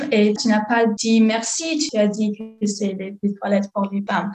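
A woman speaks with an English accent. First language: English (speaking French). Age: 20s. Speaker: student. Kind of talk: testimony. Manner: halting.

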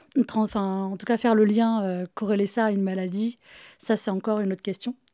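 A woman's medium-pitched voice, dark and mellow in tone, monotone and flat, in a very clean recording with a silent background. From Paris region, France. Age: 40s. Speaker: guest with chronic illness. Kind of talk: intimate conversation. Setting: home.

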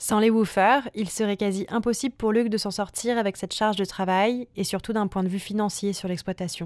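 An unremarkable speaking voice runs at a moderate pace with hardly any pauses and fairly even intonation, on a very clean recording with a silent background. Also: woman, medium pitch for a woman. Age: 20s. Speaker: podcast host. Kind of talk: scripted narration.

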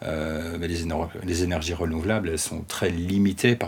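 Here a man speaks at a moderate pace. His pitch is very deep and low, and his intonation is monotone and flat. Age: 30s. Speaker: geologist. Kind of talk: interview monologue. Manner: halting, many hesitations.

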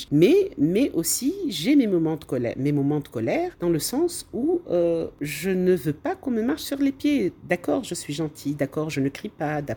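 A woman talks fairly slowly at a fairly low pitch with very wide pitch swings. She leaves hardly any pauses. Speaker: flight attendant and anti-racism activist. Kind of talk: interview. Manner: animated.

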